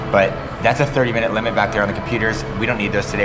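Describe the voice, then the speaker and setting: A man speaking at a very fast pace, with audible room echo and music in the background. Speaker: van life vlogger. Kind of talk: casual vlog talk. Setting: coffee shop.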